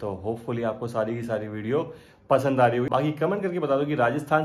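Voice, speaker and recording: The pace stays moderate as a man speaks. Pitch variation is ordinary. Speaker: travel vlogger. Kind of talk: casual vlog chat. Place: home room. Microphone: phone near.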